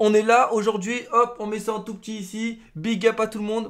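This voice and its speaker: The speaker is a man. His pitch is extremely high. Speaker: gaming youtuber. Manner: slangy, casual banter with friends. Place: home room.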